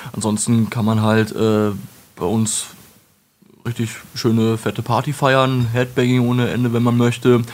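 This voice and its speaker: A man with monotone, flat intonation and long, frequent pauses. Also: medium pitch for a man, fairly slow pace. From Lower Saxony, Germany (Wolfenbüttel). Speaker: metal singer and retail worker. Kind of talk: casual interview.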